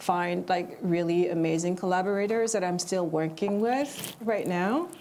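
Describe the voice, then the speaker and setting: A woman with a non-native accent. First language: not English. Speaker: screenwriter. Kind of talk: panel discussion. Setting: television studio with live audience. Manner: hesitant, many fillers.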